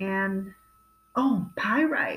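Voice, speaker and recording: In an American accent, a woman with medium pitch sounds somewhat breathy with a warm, relaxed tone and very wide pitch swings. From California. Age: 50s. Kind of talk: product showcase monologue.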